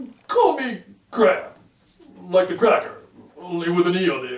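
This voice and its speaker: The voice is put-on, a character act. Its pitch sits in the middle, and the delivery runs at a moderate speed. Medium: read story. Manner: hesitant, stammering.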